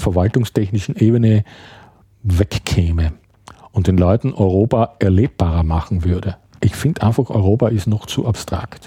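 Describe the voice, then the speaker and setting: A man speaks with a fairly low pitch and a dark, mellow tone that is somewhat breathy. The sound is dry and close with no echo, on a very clean recording with a silent background. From Austria, Graz (Styria). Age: 50s. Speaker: writer. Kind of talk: casual chat. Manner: halting.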